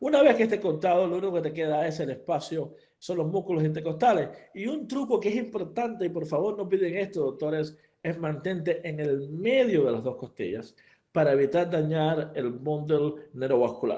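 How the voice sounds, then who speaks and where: A man's dark, mellow tone, fairly high pitch, lively intonation and moderate pace. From Cuba. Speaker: veterinary surgeon. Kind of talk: lecture. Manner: hesitant, many fillers and repetitions.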